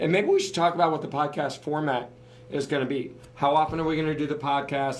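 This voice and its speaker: Speaking very fast with fairly even intonation, the voice has an American accent, with noticeable background noise and audible room echo. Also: man. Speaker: podcast co-host, business owner. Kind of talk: casual podcast talk.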